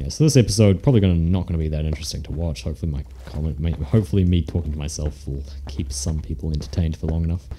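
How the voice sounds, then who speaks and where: A man's very deep, low voice rushes along at a very fast pace with ordinary pitch variation, over noticeable background noise. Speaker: Minecraft let's play commentator. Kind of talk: casual gaming commentary.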